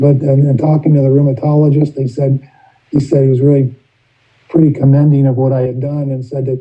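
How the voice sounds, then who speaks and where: Somewhat breathy, a man speaks at a fairly high pitch with a dark, mellow tone. His intonation stays flat and monotone. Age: 60s. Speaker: recovery meeting speaker. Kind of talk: testimony. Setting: video call. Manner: halting.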